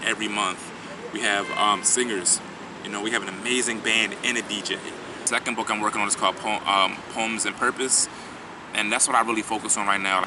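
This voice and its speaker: A man with a Philadelphia accent, fairly low in pitch, monotone and flat at a moderate pace, over noticeable background noise. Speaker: spoken word poet. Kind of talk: interview answer. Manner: casual.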